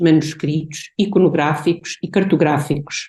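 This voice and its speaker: A woman speaks at a fairly slow pace in a somewhat breathy voice with a dark, mellow tone. Her intonation is fairly even. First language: Portuguese (speaking Spanish). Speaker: art historian and researcher. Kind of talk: academic conference presentation.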